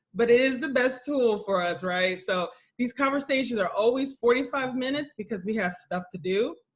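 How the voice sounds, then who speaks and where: A loud woman with an American accent, high in pitch, lively in intonation, at a moderate pace. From US Midwest (Columbus, Ohio). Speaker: entrepreneur hosting online coffee chat. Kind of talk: casual group video chat. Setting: video call. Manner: casual.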